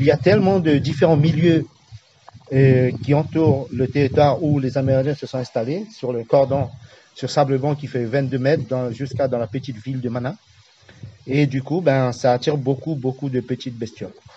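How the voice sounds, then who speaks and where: Over noticeable background noise, a man with a non-native accent speaks at medium pitch and a moderate pace with fairly even intonation. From French Guiana, Amerindian village of Awala-Yalimapo. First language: Amerindian language (speaking French). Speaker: village tour guide. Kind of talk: interview. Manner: halting, searching for words.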